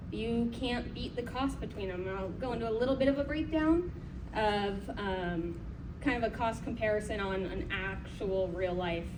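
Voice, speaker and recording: A moderate pace with noticeable background noise. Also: woman. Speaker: conference presenter. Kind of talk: conference presentation. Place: hall. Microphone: camera far.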